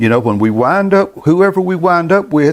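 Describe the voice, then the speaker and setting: This man has a fairly high pitch and lively intonation. His pace is moderate. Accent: North Carolina. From US South, North Carolina. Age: 70s. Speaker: gospel music show host. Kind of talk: monologue to online viewers, commentary. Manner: halting, repeats words.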